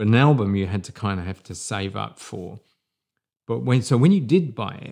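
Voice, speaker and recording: A man with an English accent, fairly low in pitch, with lively intonation at a moderate pace. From England. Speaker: podcast co-host. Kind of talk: casual chat. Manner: halting.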